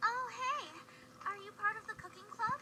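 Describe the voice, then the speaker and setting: A woman puts on a squeaky character voice at an extremely high pitch. She keeps a moderate pace over light background noise. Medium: video game. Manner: friendly, upbeat.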